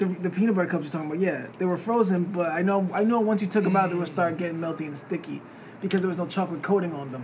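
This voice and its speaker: The speech comes at a very fast pace with fairly even intonation. Noticeable background noise is present. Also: man, high pitch for a man. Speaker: podcast host. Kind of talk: casual banter podcast chat.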